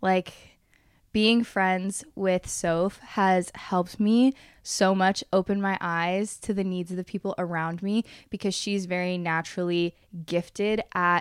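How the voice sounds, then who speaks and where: With monotone, flat intonation, a woman speaks at a medium pitch and a fairly slow pace in a very clean recording with a silent background and a dry, close sound with no echo. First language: Spanish. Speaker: podcast host. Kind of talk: casual chat.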